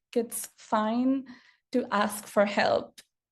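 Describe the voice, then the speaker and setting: A woman talks at a very slow pace, her voice somewhat breathy. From India. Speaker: software engineer, accessibility advocate. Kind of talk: presentation with slides. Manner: halting, many fillers.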